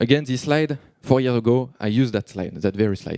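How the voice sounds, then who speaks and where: The sound is dry and close with no echo as a man talks in a French accent. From France. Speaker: software developer, conference speaker. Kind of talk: conference talk. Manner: fast; halting.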